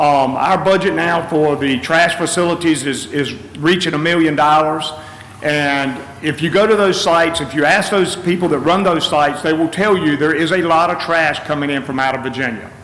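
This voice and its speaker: A man speaks in a fairly high voice with fairly even intonation. Audible room echo and noticeable background noise surround him. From North Carolina, Gates County. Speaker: public commenter at county meeting. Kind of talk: public comment at government meeting. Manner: fast.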